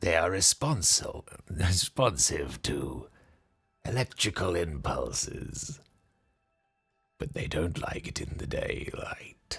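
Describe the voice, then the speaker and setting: A man puts on a character voice, very deep and low in pitch. He speaks at a very slow pace with long, frequent pauses. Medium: actual play. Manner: cold, menacing, formal.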